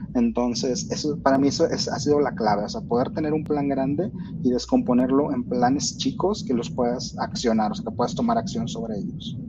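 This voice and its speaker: Over noticeable background noise, a man with a Mexican accent speaks at a fairly quick pace with very wide pitch swings. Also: medium pitch for a man. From Mexico. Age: 30s. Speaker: software engineer. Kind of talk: casual interview. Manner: halting, many fillers.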